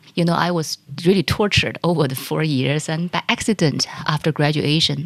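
A woman with a Chinese accent has a very deep, low voice. She speaks at a moderate pace with fairly even intonation. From China. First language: Mandarin Chinese. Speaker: corporate executive and investor. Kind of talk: interview.

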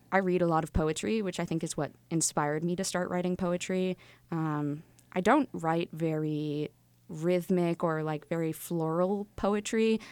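A woman with a fairly low pitch and an ordinary speaking voice talks at a moderate pace with fairly even intonation over a very clean recording with a silent background. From Wilmington, Massachusetts. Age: 20s. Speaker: poet, recent college graduate. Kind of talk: interview.

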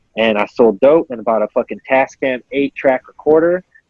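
A man speaks with an American accent in an ordinary speaking voice. His pitch is medium, with ordinary pitch variation. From Colorado. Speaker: rapper. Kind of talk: casual chat.

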